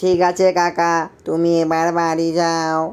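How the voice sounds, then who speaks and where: A man puts on a cartoonish character voice, pitched high and delivered in a monotone, flat intonation. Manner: pushy.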